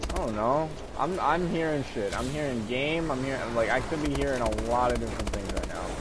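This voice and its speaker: A man talks fairly briskly, and both audible room echo and clear background noise come through. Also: medium pitch for a man, ordinary pitch variation. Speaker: video game streamer. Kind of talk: live gameplay stream chat. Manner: loud; animated.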